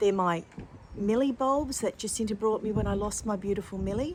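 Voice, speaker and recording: Moderately paced speech from a woman with an Australian accent. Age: 60s. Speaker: lifestyle vlogger. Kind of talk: casual vlog talk to camera. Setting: outdoors in garden. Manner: slight slurring and pauses after a fall; warm, gentle, chatty.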